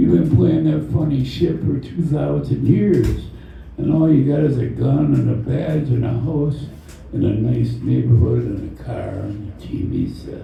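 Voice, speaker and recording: Amid noticeable background noise and audible room echo, a man with a fairly low pitch speaks fairly slowly, his voice making very wide pitch swings. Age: 80s+. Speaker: poet. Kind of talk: poetry reading.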